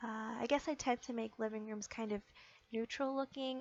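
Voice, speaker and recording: This woman's fairly high voice stays monotone, its intonation flat throughout. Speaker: gaming video creator. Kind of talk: casual game build commentary. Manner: many filler words (um, uh).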